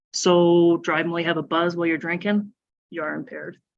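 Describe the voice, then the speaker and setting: Fairly low in pitch, a woman with a Nova Scotian accent speaks at a moderate pace. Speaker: police officer. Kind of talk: public talk at town hall. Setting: town hall meeting, live streamed.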